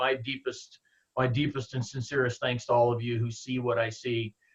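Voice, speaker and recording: A man is speaking here. His voice is somewhat breathy. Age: 60s. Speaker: network marketing distributor. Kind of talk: motivational team call talk. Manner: halting, repeats words.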